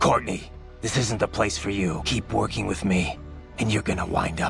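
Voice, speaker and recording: Using a put-on character voice, a man speaks at a moderate pace and a fairly low pitch while clear music plays in the background. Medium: game stream. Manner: terse, gravelly resolve.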